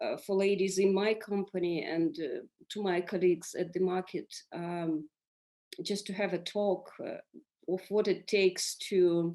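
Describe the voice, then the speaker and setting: This woman speaks at a fairly slow pace, her intonation fairly even. Her pitch is medium and her tone dark and mellow. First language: Russian or Ukrainian. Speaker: business leader on a panel. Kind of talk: panel discussion. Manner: halting, many fillers and repetitions.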